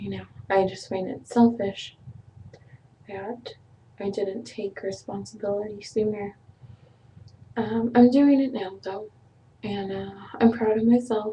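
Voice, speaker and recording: Somewhat breathy and fairly high-pitched, a woman speaks fairly slowly in a dark, mellow tone with fairly even intonation and long, frequent pauses. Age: 20s. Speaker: vlogger. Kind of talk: personal vlog, emotional confession. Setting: webcam video. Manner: halting, many fillers.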